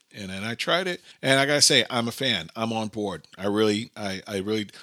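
A man with a New York accent speaks at a moderate pace and medium pitch, with ordinary pitch variation and an animated, bright, sharp tone. The recording is very clean, with a silent background and a dry, close sound with no echo. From US, Brooklyn, New York. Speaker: podcast host. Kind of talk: casual monologue.

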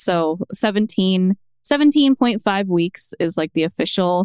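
With an American accent and a plain, everyday voice, a woman at medium pitch speaks with lively intonation in a dry, close sound with no echo. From US East Coast. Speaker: mom content creator. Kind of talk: casual chat. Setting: at home.

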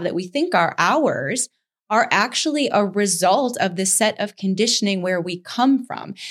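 Medium pitch and ordinary pitch variation at a moderate pace, from a woman with an unremarkable speaking voice. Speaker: podcast co-host. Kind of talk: educational podcast discussion.

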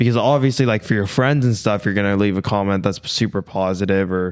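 A man with an ordinary speaking voice, pitched fairly low and with fairly even intonation. The recording is very clean, with a silent background. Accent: Canadian. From Canada, Ontario (small town outside Toronto). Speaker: fitness content creator and bodybuilder. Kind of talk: casual podcast interview.

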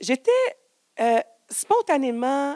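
A woman speaks with a dry, close sound and no echo. The recording is very clean, with a silent background. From Quebec, Donnacona. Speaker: storyteller. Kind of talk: live storytelling. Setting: stage with audience.

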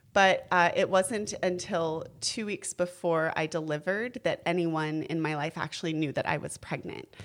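A woman with an ordinary speaking voice and a fairly low pitch talks at a moderate pace. Her pitch variation is ordinary, with hardly any pauses. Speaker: birth mother. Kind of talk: casual chat.

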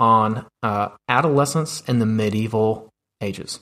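On a very clean recording with a silent background, a man speaks at a medium pitch in an ordinary speaking voice. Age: 20s. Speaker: youth ministry director. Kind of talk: interview.

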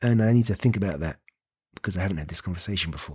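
Lively intonation from a man whose voice is somewhat breathy. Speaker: actor. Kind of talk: casual chat.

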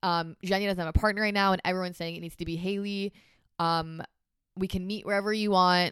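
A woman talks at a very fast pace. Her medium-pitched voice stays in a flat monotone. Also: dry, close sound with no echo. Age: young. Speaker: competitive pairs figure skater. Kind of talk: interview. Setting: home basement studio.

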